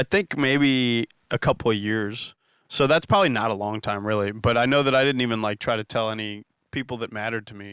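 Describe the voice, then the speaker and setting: A man's medium-pitched voice at a fairly quick pace, with big swings in loudness, in a dry, close recording with no echo, very clean and silent in the background. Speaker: stand-up comedian. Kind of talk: casual chat. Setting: studio. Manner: deadpan; monotone.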